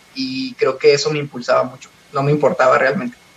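There is noticeable background noise behind this man as he talks. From Mexico, Coahuila (Parras de la Fuente). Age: 20s. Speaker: gymnast. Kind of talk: interview. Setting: phone call.

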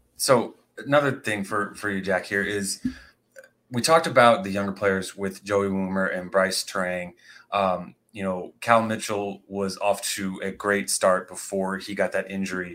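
On a very clean recording with a silent background, a normal speaking voice moves at a moderate pace with ordinary pitch variation. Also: man, fairly low pitch for a man. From Indiana. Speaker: podcast co-host. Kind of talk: casual sports podcast chat.

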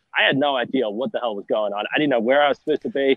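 Speaking with an Australian accent, a man keeps his intonation fairly even. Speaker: sports reporter. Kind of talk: interview.

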